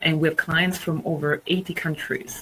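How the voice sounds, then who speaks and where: Against noticeable background noise, a woman speaks with a very deep, low pitch. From Italy. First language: Italian. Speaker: market research executive and webinar speaker. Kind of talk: presentation.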